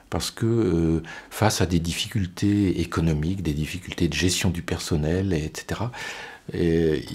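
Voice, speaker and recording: Pitched very deep and low, a man speaks at a fairly slow pace with fairly even intonation. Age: 60s. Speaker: deacon. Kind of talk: interview testimony. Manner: halting, many repetitions and hesitations.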